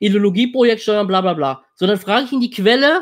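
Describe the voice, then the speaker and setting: The speech moves at a moderate pace. Nothing much can be heard behind it. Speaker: political commentator. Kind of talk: reaction stream commentary. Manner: blunt. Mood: indignant, dismissive. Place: home room.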